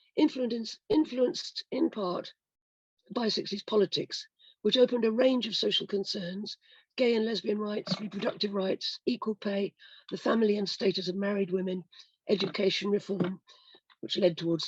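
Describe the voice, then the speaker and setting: A woman speaks at a moderate pace, somewhat breathy, with ordinary pitch variation. The sound is dry and close, with no echo. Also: medium pitch for a woman. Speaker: historian. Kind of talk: prepared lecture. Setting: video call.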